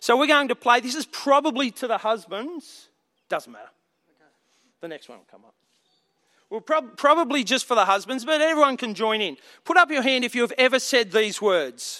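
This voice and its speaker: An extremely high-pitched man's raised, projected voice, bright and sharp in tone, with lively intonation, big loudness swings and long, frequent pauses. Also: moderate pace. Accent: Australian. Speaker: preacher. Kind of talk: sermon.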